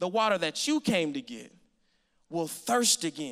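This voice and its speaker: Against a quiet background, a voice with a bright, sharp tone makes very wide pitch swings. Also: man. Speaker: preacher. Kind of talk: sermon. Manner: call-and-response, engaged with congregation. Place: church. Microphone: handheld.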